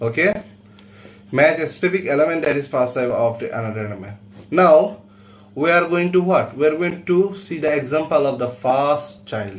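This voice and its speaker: Audible room echo surrounds a man speaking at a moderate pace with lively intonation and a fairly high pitch. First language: not English. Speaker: coding teacher. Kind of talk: tutorial.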